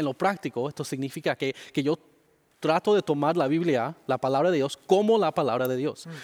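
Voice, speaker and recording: A man with a non-native accent, a fairly high voice, ordinary pitch variation and a moderate pace, on a very clean recording with a silent background and a dry, close sound with no echo. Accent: weak Spanish, English-dominant. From Miami, Florida, Cuban-Dominican family. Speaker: pastor. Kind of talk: interview. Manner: halting.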